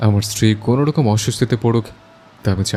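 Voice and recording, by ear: Pitch varies in an ordinary way as someone reads aloud in a natural voice.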